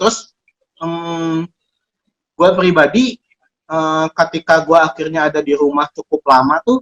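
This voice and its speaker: The man's voice sits at a high pitch. The sound is dry and close, with no echo. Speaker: co-host of an advice show reading listener letters. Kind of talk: casual chat.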